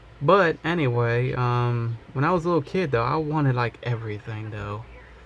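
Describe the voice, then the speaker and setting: Somewhat breathy, a man talks at a moderate pace with medium pitch and ordinary pitch variation. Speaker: hobbyist toy repainter. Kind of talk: casual monologue while painting. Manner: rambling, repetitive.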